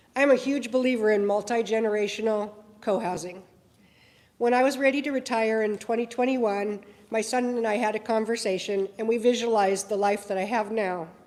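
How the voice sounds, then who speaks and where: A woman speaks at a fairly quick pace with fairly even intonation. Audible room echo surrounds her voice. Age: 60s. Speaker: retired nurse, housing advocate. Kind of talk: prepared statement. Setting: press conference.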